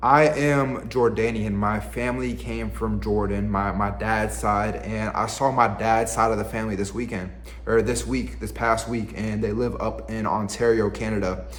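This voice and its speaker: Amid noticeable background noise and audible room echo, a man talks at a moderate pace with hardly any pauses. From US South, Virginia. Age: 20s. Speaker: lifestyle vlogger. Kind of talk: casual vlog monologue. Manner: casual, halting with repetitions.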